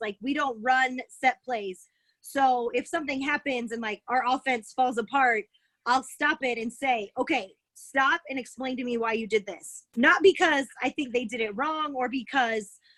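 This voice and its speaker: A loud woman's voice, high-pitched, bright and sharp in tone, with ordinary pitch variation at a moderate pace, dry and close with no echo. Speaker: college basketball head coach. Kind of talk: Q&A on video call. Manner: animated.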